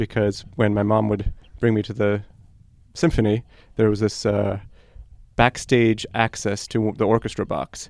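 With an American accent, a man uses an unremarkable speaking voice, fairly low in pitch with fairly even intonation, recorded dry and close with no echo. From New York City. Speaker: orchestra conductor. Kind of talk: interview.

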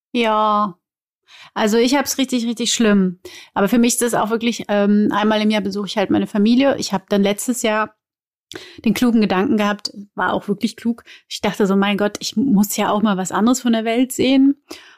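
Fairly quick and fairly even in intonation, a woman talks in an unremarkable speaking voice. The sound is dry and close, with no echo. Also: fairly high pitch for a woman. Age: 30s. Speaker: actress and podcast co-host. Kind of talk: casual chat.

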